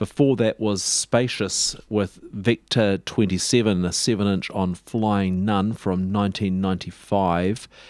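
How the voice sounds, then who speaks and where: A man with a New Zealand accent speaks at a very slow pace with fairly even intonation. He hardly pauses at all. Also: very clean recording, silent background. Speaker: radio host. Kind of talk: radio DJ patter between records, relaxed, informative show host chat.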